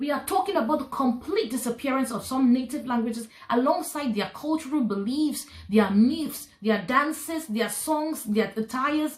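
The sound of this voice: A woman speaks at a high pitch and a fairly slow pace. Her intonation is lively.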